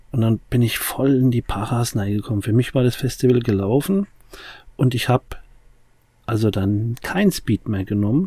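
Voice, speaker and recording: This man's somewhat breathy voice has a dark, mellow tone, broken by long, frequent pauses. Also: medium pitch for a man, lively intonation, moderate pace. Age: 40s. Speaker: addiction recovery podcast host. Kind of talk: casual chat.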